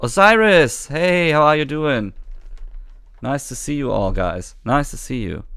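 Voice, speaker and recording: Talking at a fairly slow pace, a man with a fairly high, bright, sharp voice makes very wide pitch swings and big swings in loudness. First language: German. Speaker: gaming streamer. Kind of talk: live stream chat. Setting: live stream. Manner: halting.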